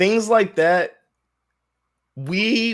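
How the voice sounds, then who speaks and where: This is a man speaking. His tone is animated. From United States, moved around (Texas, Maryland, California). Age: 20s. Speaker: Air Force veteran, student and gamer. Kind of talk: casual interview chat.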